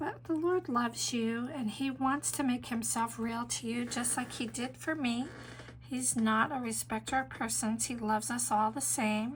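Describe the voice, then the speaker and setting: A woman speaks at a moderate pace in a warm tone. Noticeable background noise runs under her voice. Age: 60s. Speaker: pastor and painting teacher. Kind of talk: testimony; tutorial. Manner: casual, warm.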